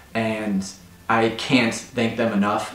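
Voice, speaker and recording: With an American accent, a man speaks at a fairly slow pace. Audible room echo and light background noise come through. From United States. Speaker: expat vlogger. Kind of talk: personal vlog talk to camera. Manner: emotional. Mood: earnest, grateful, emotional. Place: home room.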